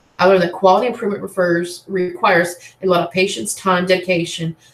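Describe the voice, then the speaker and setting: Speaking at a very fast pace, a woman with a medium pitch keeps her intonation fairly even. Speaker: nursing student presenter. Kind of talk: class presentation.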